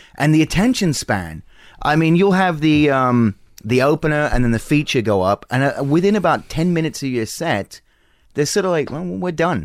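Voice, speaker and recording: A man speaks at a moderate pace with lively intonation and a fairly high pitch. The recording is very clean, with a silent background. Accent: Australian. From Australia. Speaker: comedian. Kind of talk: casual chat. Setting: home garage studio.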